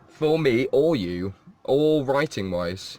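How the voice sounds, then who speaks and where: Against noticeable background noise, a man with a British accent speaks at a fairly high pitch with very wide pitch swings. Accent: posh British, BBC English. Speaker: live streamer. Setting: at home, self-isolating. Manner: casual, chatty, rambling.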